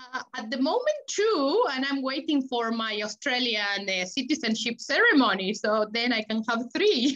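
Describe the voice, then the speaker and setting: In a Spanish accent, a woman with a high pitch speaks at a moderate pace with lively intonation and hardly any pauses. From Argentina. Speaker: chef and food sales manager. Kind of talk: casual chat.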